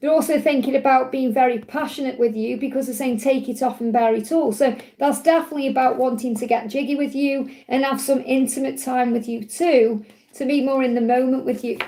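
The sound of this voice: A woman speaks at a fairly quick pace with a high pitch, a dark, mellow tone and fairly even intonation. There is audible room echo.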